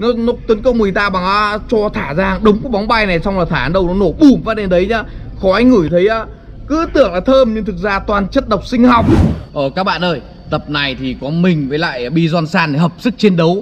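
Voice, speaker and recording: With lively intonation and a fairly quick pace, a man speaks over light background noise. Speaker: video creator. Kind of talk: animated storytelling vlog chat. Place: waterside. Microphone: phone near.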